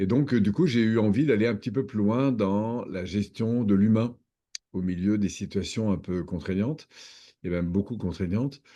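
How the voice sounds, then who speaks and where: Against a quiet background, a man with a fairly low pitch and a dark, mellow tone speaks at a moderate pace with ordinary pitch variation. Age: 60s. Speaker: personal development trainer and coach. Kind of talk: interview. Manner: hesitant, many fillers.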